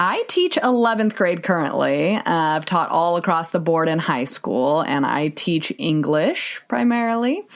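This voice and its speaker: A woman with an ordinary speaking voice talks at a fairly low pitch and a fairly slow pace. Her intonation is lively, and the recording is very clean with a silent background. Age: 30s. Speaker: podcast co-host and high school English teacher. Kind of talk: casual chat.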